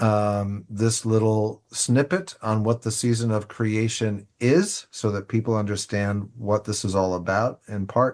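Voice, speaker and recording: In a normal speaking voice, a man talks at a fairly slow pace and fairly low pitch with fairly even intonation against a quiet background. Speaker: church leader presenting liturgy resources. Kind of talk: online presentation with screen share.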